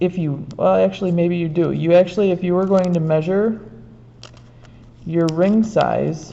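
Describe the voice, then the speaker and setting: Quiet and fairly low in pitch, a woman speaks at a moderate pace with fairly even intonation. She leaves long, frequent pauses, and there is audible room echo. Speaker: art teacher. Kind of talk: tutorial. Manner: trying to talk quietly.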